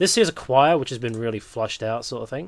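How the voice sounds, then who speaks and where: A man speaking with ordinary pitch variation, on a very clean recording against a silent background. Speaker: music producer. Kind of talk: tutorial. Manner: fast.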